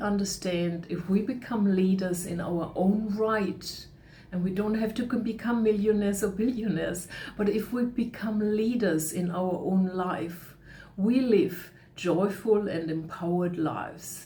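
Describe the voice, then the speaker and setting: Noticeable background noise and audible room echo surround the recording. A woman of medium pitch talks at a fairly slow pace. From Germany. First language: German. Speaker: leadership coach. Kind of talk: webinar talk. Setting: online webinar.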